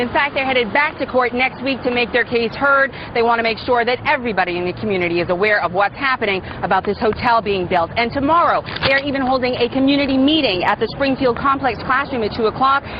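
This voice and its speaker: A woman with a high voice and ordinary pitch variation talks at a very fast pace while noticeable background noise carries on. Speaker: TV news reporter. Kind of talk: field reporter package voiceover. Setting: outdoors on location.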